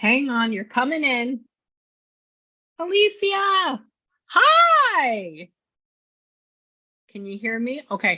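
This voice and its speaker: Speaking very slowly in a raised, projected voice, a woman pitched high uses very wide pitch swings and big shifts in loudness, with long, frequent pauses. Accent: American. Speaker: psychic medium. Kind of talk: psychic reading session. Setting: studio.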